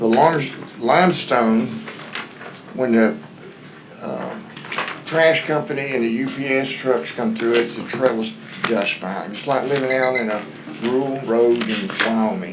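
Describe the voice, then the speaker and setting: A man speaks at medium pitch and a fairly slow pace, with lively intonation and long, frequent pauses. Audible room echo and noticeable background noise fill the recording. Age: 70s. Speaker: resident speaking at public comment. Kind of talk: public comment at county meeting. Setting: county courtroom meeting.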